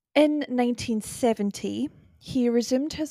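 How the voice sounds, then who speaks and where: In a Scottish accent, a woman speaks with a fairly high voice and a dark, mellow tone, the sound dry and close with no echo on a very clean recording with a silent background. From UK. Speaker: podcast host. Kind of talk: solo podcast narration, relaxed. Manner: casual, chatty, laughs often.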